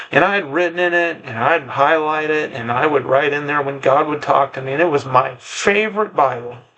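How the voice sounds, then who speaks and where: There is noticeable background noise as a man talks at a fairly high pitch with ordinary pitch variation. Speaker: preacher sharing personal testimony. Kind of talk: testimony. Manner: halting, repetitive; casual.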